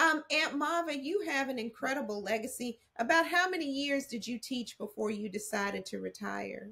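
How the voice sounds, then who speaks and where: With an American accent, a woman speaks in a high pitch with lively intonation, a moderate pace and hardly any pauses. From Texas. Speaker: interviewer, family historian; interviewer. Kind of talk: family interview. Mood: warm, respectful. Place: home room.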